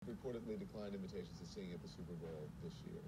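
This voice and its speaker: Very fast speech from a man over loud background noise. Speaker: TV news anchor. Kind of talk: TV news interview. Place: studio.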